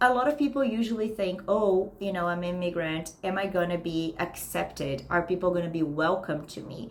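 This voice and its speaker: Lively intonation marks this woman's medium-pitched voice at a moderate pace. She speaks with hardly any pauses over noticeable background noise. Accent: slight Brazilian. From Brazil. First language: Portuguese. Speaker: career consultant. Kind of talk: online class. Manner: casual, conversational.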